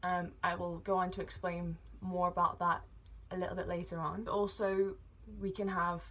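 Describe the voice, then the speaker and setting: A woman with an English accent speaks at a moderate pace. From England. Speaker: vlogger. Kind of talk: personal vlog, medical history. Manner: hesitant with fillers.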